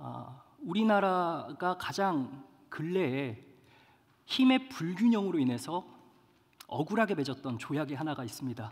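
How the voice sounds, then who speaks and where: Over a very clean, silent background, a man with a fairly high pitch speaks at a fairly slow pace, with very wide pitch swings and long, frequent pauses. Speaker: pastor. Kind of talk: sermon.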